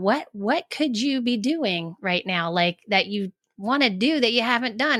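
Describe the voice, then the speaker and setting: The recording is very clean, and the background is silent. Her intonation is lively as the woman talks. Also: dry, close sound with no echo. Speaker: life coach and author. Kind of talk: podcast interview. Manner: halting, many restarts.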